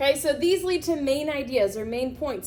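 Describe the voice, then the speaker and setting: A loud, animated woman's voice, high in pitch with very wide pitch swings, at a fairly slow pace amid audible room echo. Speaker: teacher. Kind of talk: lecture.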